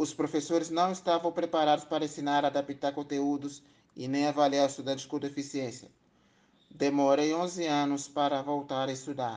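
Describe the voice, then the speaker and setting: A man at a moderate pace, fairly high in pitch, flat and monotone, over a quiet background. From Brazil, Espírito Santo. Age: 30s. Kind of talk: personal testimony. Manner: formal.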